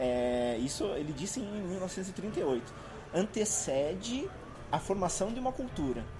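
A man talks in a high pitch with very wide pitch swings. Noticeable background noise and audible room echo surround his voice. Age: 40s. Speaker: university course coordinator. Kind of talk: panel discussion. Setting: live recording with audience.

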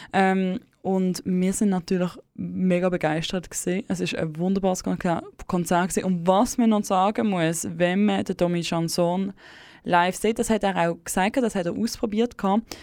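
Here a woman uses a normal speaking voice at medium pitch and a moderate pace. The recording is very clean with a silent background. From Switzerland, German-speaking, bilingual with English. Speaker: community radio host. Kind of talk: late-night radio chat. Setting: dark radio studio.

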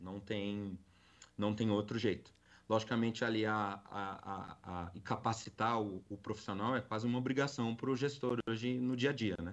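A man with a plain, everyday voice talks at a moderate pace, fairly low in pitch. His intonation is fairly even, and the background is quiet. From Brazil, São Paulo city. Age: 40s. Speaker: corporate security and loss prevention manager. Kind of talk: live podcast interview.

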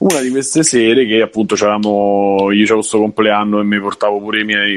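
A man has an unremarkable speaking voice with a fairly low pitch. He talks at a fairly quick pace. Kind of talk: casual chat.

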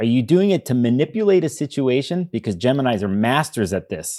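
With an American accent, a man speaks at a moderate pace in a medium pitch, his dark, mellow tone carrying lively intonation on a very clean recording with a silent background. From Chicago, US. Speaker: astrologer. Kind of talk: casual interview discussion.

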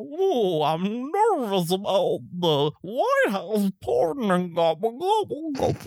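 This is a put-on character voice with fairly high pitch. It moves at a fairly slow pace. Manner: nervous, comical.

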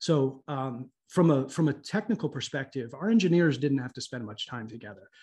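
A man with an American accent speaks at a moderate pace, with hardly any pauses and a somewhat breathy, fairly high voice. His intonation is lively, and the background is quiet. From US Midwest, Columbus, Ohio. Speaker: tech executive. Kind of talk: interview.

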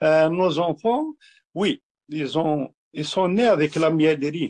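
A man speaks very slowly in a fairly high pitch with ordinary pitch variation. The sound is dry and close, with no echo. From Algeria, Kabylie. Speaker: honey producer and distiller. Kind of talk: interview. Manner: halting.

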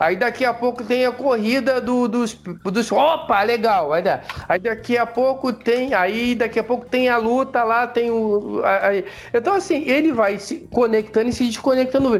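Holding a very even loudness, a man with an extremely high pitch speaks at a fairly slow pace with ordinary pitch variation. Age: 50s. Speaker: podcast co-host. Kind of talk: casual chat. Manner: halting.

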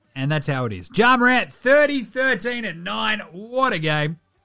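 Over background music, a man speaks with an Australian accent. His tone is animated, with very wide pitch swings. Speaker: basketball podcast host. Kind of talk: sports commentary, game recap. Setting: studio.

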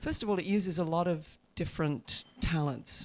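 A dark, mellow tone with an English accent comes through on a very clean recording with a silent background. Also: woman. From England, Hereford (Welsh borderlands). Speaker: film festival programmer. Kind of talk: interview.

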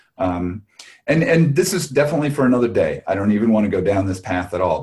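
At a moderate pace, a man speaks with lively intonation in a dark, mellow, somewhat breathy tone. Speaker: podcast host. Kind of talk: podcast conversation.

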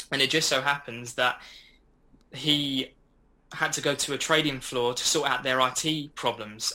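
A man with an Essex accent, medium pitch and a bright, sharp tone, at a moderate pace with fairly even intonation. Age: 20s. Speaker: forex trader. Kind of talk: podcast interview.

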